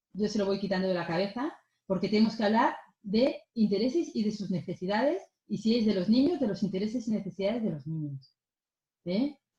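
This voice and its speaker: With a dark, mellow tone and a somewhat breathy quality, a woman speaks at a fairly quick pace. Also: medium pitch for a woman, lively intonation. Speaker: mediator. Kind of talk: lecture.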